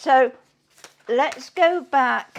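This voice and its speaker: A woman with a British accent speaks in a high voice with lively intonation. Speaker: cooking show host. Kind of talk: live cooking show. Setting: home kitchen. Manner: chatty, halting.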